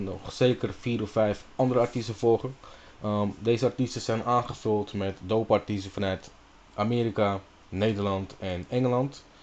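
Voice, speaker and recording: A man's medium-pitched voice moves at a moderate pace, his intonation fairly even. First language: Dutch. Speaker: radio host. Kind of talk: radio show intro. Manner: casual, hesitant with fillers.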